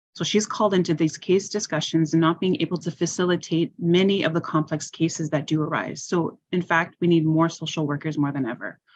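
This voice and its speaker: A woman's fairly low voice with a Canadian accent, an ordinary speaking voice, with fairly even intonation. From Ontario. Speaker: health and social services director. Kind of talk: panel presentation Q&A.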